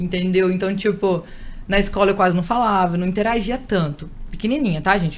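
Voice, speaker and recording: Audible room echo follows a woman talking at a medium pitch and fairly quick pace. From Espírito Santo, Brazil. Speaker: radio and event presenter. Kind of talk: interview.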